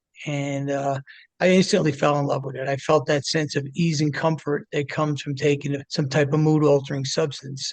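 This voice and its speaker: This man speaks at a moderate pace with an American accent, his voice fairly high and somewhat breathy. His intonation stays monotone and flat. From New Jersey, near Manhattan. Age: 60s. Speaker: addiction recovery advocate. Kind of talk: interview storytelling. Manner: casual, filler-heavy.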